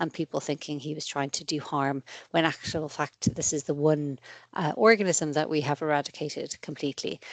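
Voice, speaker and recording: With an Irish accent, a woman speaks in a very deep, low pitch against a quiet background. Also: dry, close sound with no echo. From Ireland. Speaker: paediatric infectious diseases consultant. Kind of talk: lecture. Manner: fast.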